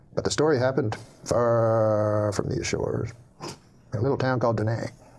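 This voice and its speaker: Fairly even intonation from a somewhat breathy voice. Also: man. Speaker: comedian. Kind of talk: comedic joke storytelling.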